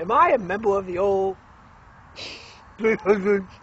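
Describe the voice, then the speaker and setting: In a cartoonish character voice, a man talks at a moderate pace with a high pitch. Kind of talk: improvised comedy with a puppet on a road trip. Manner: silly, naive.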